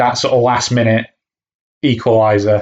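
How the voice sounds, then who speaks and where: The speaker is a man at a moderate pace. His pitch is medium. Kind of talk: angry rant. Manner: indignant, sweary, sarcastic and scornful, spitting out insults at the booing fans.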